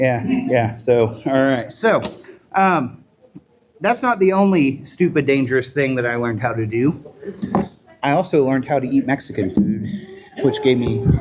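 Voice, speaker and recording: Lively intonation comes at a moderate pace, broken by long, frequent pauses, over noticeable background noise. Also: man, medium pitch for a man. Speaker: sideshow performer. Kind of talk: live stage performance. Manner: animated.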